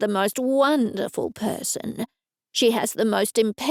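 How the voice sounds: Ordinary pitch variation in a natural reading voice, set against a quiet background.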